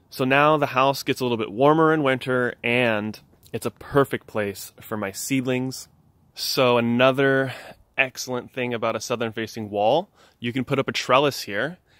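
A man at a moderate pace, with fairly even intonation and a dry sound with no echo. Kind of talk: casual vlog chat. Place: garden. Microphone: phone near.

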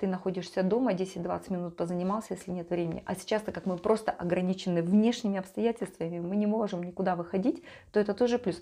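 At a very fast pace, a woman speaks with a warm, dark, mellow tone and fairly even intonation. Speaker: life coach and vlogger. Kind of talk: monologue to camera, vlog-style talk. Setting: home video recording. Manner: warm, conversational, reflective. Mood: calm, reflective. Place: home room. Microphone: lapel.

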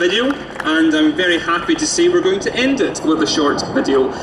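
A man speaks with a Scottish accent at a moderate pace. His pitch swings very widely, and background noise is noticeable. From Scotland, Fife. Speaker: youth activist. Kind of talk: compering announcement; rally speech. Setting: outdoor stage with crowd. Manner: rousing. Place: street.

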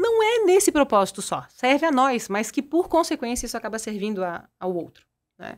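Over a quiet background, a woman speaks at a moderate pace in a high pitch, with very wide pitch swings. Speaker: personal development coach and entrepreneur; personal development coach. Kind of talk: casual interview. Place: studio. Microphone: studio mic.

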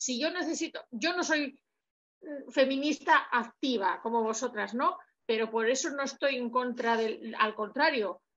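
Over a quiet background, the speech moves at a fairly slow pace with ordinary pitch variation. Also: woman. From Basque Country. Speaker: audience member. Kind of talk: audience question. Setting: video call. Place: home room. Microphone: video call.

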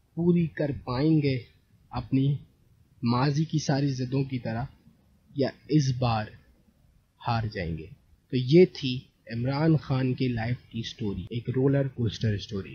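This man speaks at a very slow pace, leaving long, frequent pauses, with ordinary pitch variation and a somewhat breathy voice. Light background noise sits under a dry sound with no echo. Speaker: storytelling commentator. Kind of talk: commentary. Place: home room. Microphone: studio mic.

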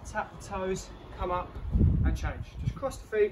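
A man speaks at a very slow pace. Loud background noise runs behind him. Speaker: fitness instructor. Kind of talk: workout instruction with counting. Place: garden. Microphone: camera far.

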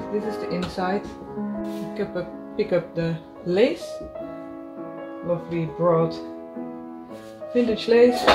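Clear music plays behind a woman who speaks at a very slow pace. Her pauses are long and frequent. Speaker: fashion designer. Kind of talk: casual talk while sewing. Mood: calm, focused. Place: home room. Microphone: phone near.

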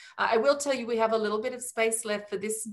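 A woman's fairly high voice in an Australian accent over a quiet background. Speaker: cruise line sales executive. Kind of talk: webinar presentation. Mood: warm, enthusiastic sales tone. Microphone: video call.

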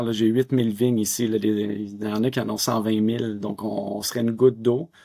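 Against a quiet background, a man with a Quebec accent speaks at a moderate pace in a medium pitch. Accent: Québécois French. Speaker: winery owner; guest. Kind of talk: interview. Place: home room. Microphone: webcam.

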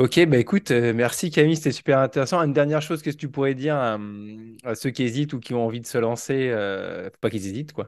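Against a quiet background, a man of medium pitch talks at a very fast pace with ordinary pitch variation. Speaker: teacher and podcast host. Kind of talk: casual interview. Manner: hesitant, lots of fillers.

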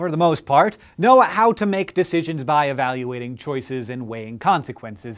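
Against a quiet background, a man with a fairly high voice talks with hardly any pauses, lively intonation and big swings in loudness. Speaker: science educator. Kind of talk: educational science explainer. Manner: fast. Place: studio. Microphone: lapel.

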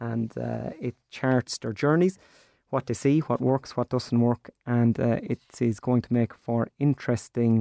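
A man in an Irish accent, medium in pitch, dark and mellow in tone, at a fairly slow pace, with a dry, close sound and no echo. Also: fairly even intonation. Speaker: radio presenter of a farming show. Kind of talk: radio interview. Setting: studio.

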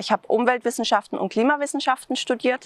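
A woman's high-pitched voice at a very fast pace, with ordinary pitch variation and a dry sound with no echo. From Swabia, Germany (Tübingen); Swabia, Germany. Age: 30s. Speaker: local election candidate; election candidate. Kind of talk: campaign self-introduction. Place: open country. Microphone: lapel.

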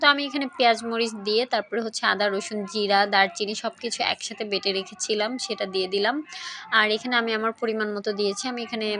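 Noticeable background noise sits under a woman's fairly high voice, which shows ordinary pitch variation. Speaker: cooking vlogger. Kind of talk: cooking tutorial.

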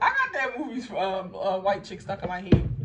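A woman with an American accent speaks at a fairly quick pace. Loud background noise fills the recording. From Baltimore, Maryland. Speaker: lifestyle vlogger. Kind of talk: casual vlog talk to camera. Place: home room. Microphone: phone near.

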